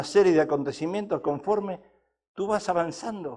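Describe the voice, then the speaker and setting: In an animated tone, a man with a high-pitched voice speaks at a moderate pace. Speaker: pastor. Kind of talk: sermon.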